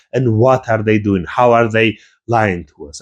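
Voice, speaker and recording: A man speaks with a Georgian accent at a moderate pace and medium pitch. His pitch varies an ordinary amount, and the background is quiet. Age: young. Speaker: YouTuber, history and politics commentator. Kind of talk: rant video, political commentary.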